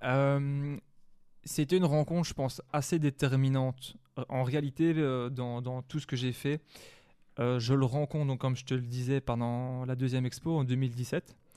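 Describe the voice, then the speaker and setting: Against a quiet background, a man with a dark, mellow tone speaks at a medium pitch and fairly slow pace, his intonation fairly even. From Wallonia, Belgium (La Louvière area). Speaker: hip-hop record collector and manager. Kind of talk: interview. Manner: hesitant, many fillers.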